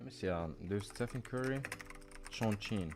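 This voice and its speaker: Over noticeable background noise, a man talks at a fairly slow pace in a fairly low pitch, his voice making very wide pitch swings. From Morocco. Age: 20s. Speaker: day trader. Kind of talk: live stream chat. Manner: casual.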